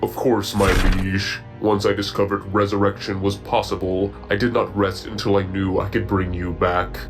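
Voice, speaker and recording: Clear music plays behind a man doing a put-on character voice. His pitch is very deep and low. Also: moderate pace. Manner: calm, clinical.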